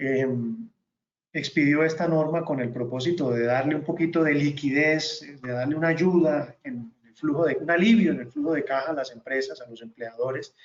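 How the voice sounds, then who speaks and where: A man talks at a fairly high pitch with ordinary pitch variation. His loudness swings a lot. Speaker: tax consultant. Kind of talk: webinar presentation. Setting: online webinar. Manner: fast.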